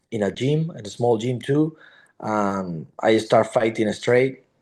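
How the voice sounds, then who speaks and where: A man speaks with a Spanish accent at a fairly slow pace. His pitch sits in the medium range. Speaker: MMA fighter. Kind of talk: interview. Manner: halting.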